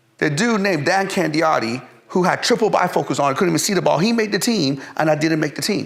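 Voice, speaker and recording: A man's pitch swings very widely, with noticeable background noise present. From Iran, then Pennsylvania from age eleven. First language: Persian. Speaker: entrepreneur, fitness company CEO. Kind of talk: interview storytelling. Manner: animated, many fillers and repetitions.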